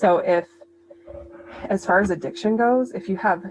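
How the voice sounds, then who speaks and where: The speech moves at a moderate pace with ordinary pitch variation while music plays in the background. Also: woman. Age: middle-aged. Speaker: nurse and health coach. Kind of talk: educational presentation. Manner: sped up.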